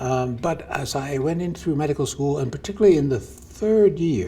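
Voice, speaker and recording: A man's somewhat breathy, fairly high voice at a moderate pace, with lively intonation. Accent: American. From US Northeast, New Jersey. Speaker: physician and medical researcher. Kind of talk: interview. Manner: halting.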